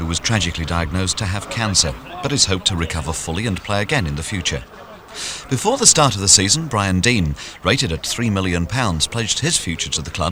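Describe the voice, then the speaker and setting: Background music is present. The talking goes at a very fast pace. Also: man. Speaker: radio presenter. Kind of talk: sports documentary narration.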